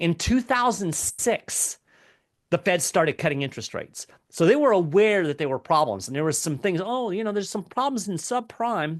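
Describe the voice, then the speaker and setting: In an American accent, a man with a high voice swings his pitch very widely, recorded with a dry, close sound and no echo. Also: moderate pace. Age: 50s. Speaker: economic commentator. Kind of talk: interview conversation. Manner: hesitant, with many fillers.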